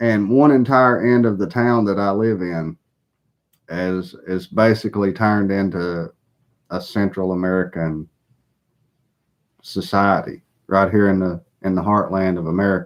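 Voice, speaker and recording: Speaking with a Southern US accent, a man with a fairly low pitch keeps a fairly even intonation and takes long, frequent pauses over a quiet background. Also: moderate pace. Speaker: political commentator. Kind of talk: live stream monologue. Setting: live broadcast.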